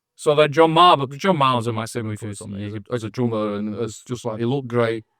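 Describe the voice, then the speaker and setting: With a Manchester accent, a man speaks very fast at a medium pitch in a bright, sharp tone, showing ordinary pitch variation and big swings in loudness in a very clean recording with a silent background. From northern England, Manchester (Wythenshawe). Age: 60s. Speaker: musician (drummer). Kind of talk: interview.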